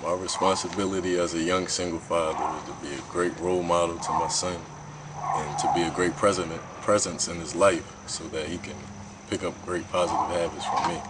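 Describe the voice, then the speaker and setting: Over noticeable background noise and audible room echo, a man with a very deep, low voice talks at a fairly quick pace in a flat monotone. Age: 20s. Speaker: college student and young father. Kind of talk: interview testimony.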